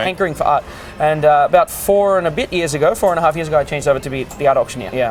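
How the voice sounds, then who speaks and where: Music plays in the background as a man with a fairly high pitch speaks at a very fast pace. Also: ordinary pitch variation. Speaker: cruise ship art auctioneer. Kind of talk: interview answer.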